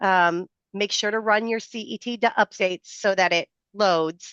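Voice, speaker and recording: A woman speaks at a medium pitch. She has an ordinary speaking voice. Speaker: software product presenter. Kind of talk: product demo on video call. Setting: video call with screen share. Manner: filler-heavy, casual.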